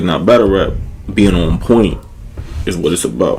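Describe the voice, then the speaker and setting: Noticeable background noise accompanies a fairly slow delivery. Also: man. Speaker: battle rapper. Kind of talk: casual chat. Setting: studio.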